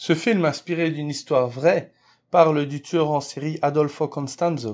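Against a quiet background, a man talks in a normal speaking voice at a fairly high pitch and a fairly slow pace, with ordinary pitch variation. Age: 30s. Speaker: actor, director and author. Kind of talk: interview answers, seemingly read.

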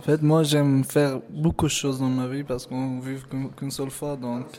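A man at medium pitch with an Afghan accent, flat and monotone, at a moderate pace over noticeable background noise. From Afghanistan (Hazara), schooled in Pakistan. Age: 20s. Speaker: cook and refugee. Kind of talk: interview testimony. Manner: halting.

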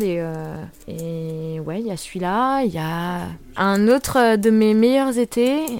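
A woman with ordinary pitch variation in a very clean recording with a silent background. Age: 20s. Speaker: internet worker. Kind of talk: personal anecdotes monologue. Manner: casual, hesitant with fillers.

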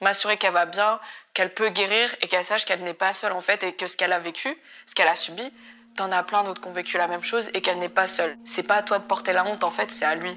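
At a very fast pace, a woman with a bright, sharp tone talks in a medium pitch with fairly even intonation. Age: 20s. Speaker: activist in anti-cybersexism collective. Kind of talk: interview. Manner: halting.

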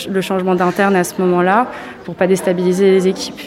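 A woman talks fairly fast while noticeable noise carries on in the background. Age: 20s. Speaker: medical resident. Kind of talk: interview on a hospital ward.

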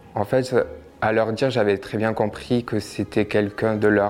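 Noticeable background noise sits behind this recording. A man with a fairly low voice speaks at a fairly slow pace. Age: 20s. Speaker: abuse survivor sharing his story. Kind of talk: testimony.

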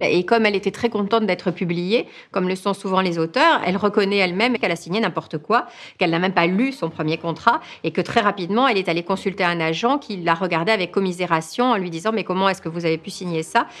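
At a very fast pace, a woman with an animated tone speaks at medium pitch with ordinary pitch variation. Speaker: writer interviewed as expert. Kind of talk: documentary interview commentary. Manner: animated, fluent, conversational with some hesitations.

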